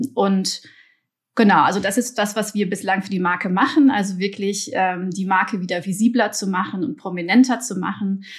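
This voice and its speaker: Pitch varies in an ordinary way and the tempo is moderate. The speech has a somewhat breathy sound. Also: woman. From Belgium, partly raised in Germany. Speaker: marketing executive. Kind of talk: podcast interview. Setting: remote recording. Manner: hesitant, many fillers.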